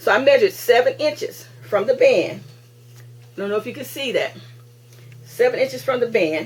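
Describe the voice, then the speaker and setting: A woman at a moderate pace, with long, frequent pauses and big swings in loudness. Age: 60s. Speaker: crafting video host. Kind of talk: tutorial. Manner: halting; casual.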